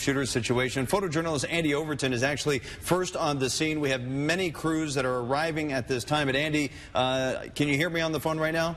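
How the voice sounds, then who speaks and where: A man with an ordinary speaking voice, fairly high in pitch, at a fairly quick pace with ordinary pitch variation. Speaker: television news anchor and reporter. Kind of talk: live breaking-news anchor toss to field crew.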